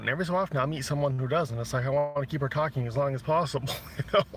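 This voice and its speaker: Very fast and fairly high, a man's voice carries an American accent. His pitch varies in an ordinary way. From Maine, US. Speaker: livestreamer watching trucks. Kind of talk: casual live chat. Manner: hesitant with many fillers.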